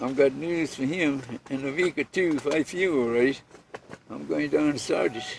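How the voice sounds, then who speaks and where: The man's pitch is fairly high, with ordinary pitch variation. Noticeable background noise sits behind him. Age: 80s+. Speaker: boat and house builder. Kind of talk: interview answer. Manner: slow, elderly.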